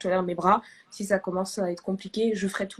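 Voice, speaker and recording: Here a woman speaks at a medium pitch. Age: 20s. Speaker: therapist and medical student hosting a live. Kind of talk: live video chat. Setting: live stream. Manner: animated.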